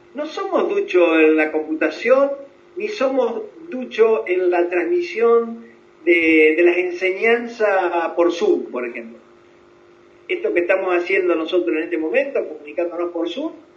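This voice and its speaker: In a room with audible echo, a man with a high-pitched voice talks at a fairly slow pace. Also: lively intonation. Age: 70s. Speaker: psychologist. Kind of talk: interview. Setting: video call.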